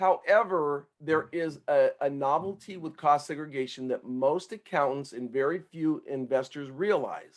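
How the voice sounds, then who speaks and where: It is a plain, everyday voice with ordinary pitch variation. The pace is fairly slow, with hardly any pauses. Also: man, fairly high pitch for a man. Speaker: tax consultant. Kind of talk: podcast interview.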